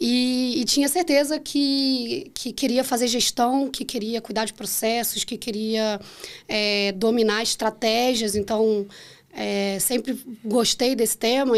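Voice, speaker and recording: A woman with a Carioca accent speaks at a fairly slow pace, her pitch fairly high and her intonation fairly even. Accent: carioca (Rio) accent, kept. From Rio de Janeiro, Brazil. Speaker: finance manager, treasury specialist. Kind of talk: podcast interview. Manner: hesitant, many fillers.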